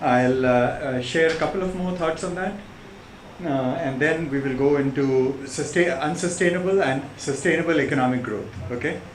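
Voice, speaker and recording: At a fairly quick pace, a man with an American accent and a fairly high pitch talks with ordinary pitch variation, amid audible room echo and noticeable background noise. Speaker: visiting professor. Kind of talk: lecture. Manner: halting.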